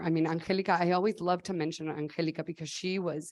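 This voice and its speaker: This woman speaks with a Spanish accent at a fairly low pitch. Her intonation stays fairly even. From Mexico, State of Mexico. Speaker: nonprofit founder. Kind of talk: conference talk.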